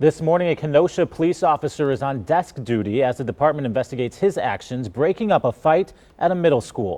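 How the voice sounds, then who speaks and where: Dark and mellow in tone, a man with a fairly high pitch talks at a very fast pace with hardly any pauses and lively intonation, the sound dry and close with no echo. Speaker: TV news anchor. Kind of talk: TV news broadcast read. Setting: studio.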